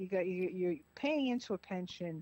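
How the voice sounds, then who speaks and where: A woman's medium-pitched voice in a strong Boston accent, moderate in pace, with a dry, close sound with no echo. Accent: heavy Boston-area. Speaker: caller. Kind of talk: casual chat.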